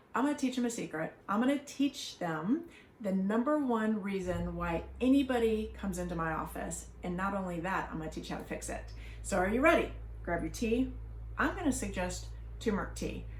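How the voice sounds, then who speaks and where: A woman speaks in an animated tone. Audible room echo and noticeable background noise fill the recording. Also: fairly quick pace. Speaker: family doctor. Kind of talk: educational talk.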